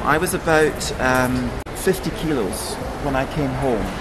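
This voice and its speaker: A man speaks with a Scottish accent over noticeable background noise, with audible room echo. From Scotland. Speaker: former flight attendant, ex-hostage. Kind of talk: interview.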